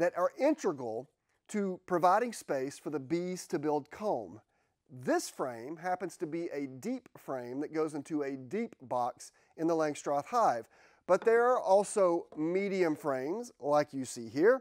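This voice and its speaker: Over a quiet background, a man talks. He keeps a fairly slow pace. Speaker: beekeeping educator. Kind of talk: tutorial. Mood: friendly, enthusiastic. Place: workshop. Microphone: lapel.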